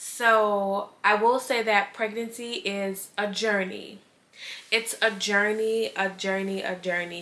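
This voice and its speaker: A woman at medium pitch with fairly even intonation, against noticeable background noise. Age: 20s. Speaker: lifestyle vlogger. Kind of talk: casual chat. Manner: casual, with fillers.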